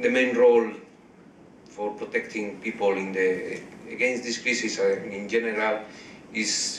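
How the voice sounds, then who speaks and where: In a Spanish accent, a man speaks at a very slow pace, with audible room echo and noticeable background noise around him. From Spain. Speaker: blogger and panel rapporteur. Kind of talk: panel report-back. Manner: halting, many repeated words.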